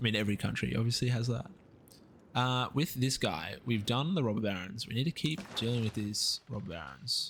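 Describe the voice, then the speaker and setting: A man's medium-pitched voice with an Australian accent, vocal fry, and lively intonation at a fairly quick pace. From Australia, east coast. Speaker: video game streamer. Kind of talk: live gameplay commentary and chat reading. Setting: live stream. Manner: fast.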